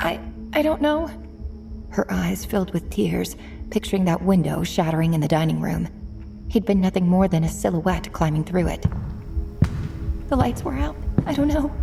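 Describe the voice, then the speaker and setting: Over music in the background, a woman speaks at a moderate pace with long, frequent pauses. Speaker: audiobook narrator. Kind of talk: audiobook thriller narration. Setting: studio.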